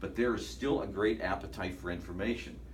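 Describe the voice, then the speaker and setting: Very fast speech with an American accent and very wide pitch swings, plus noticeable background noise and audible room echo. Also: man. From northeastern Ohio. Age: 60s. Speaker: sports anchor. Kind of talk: talk to students.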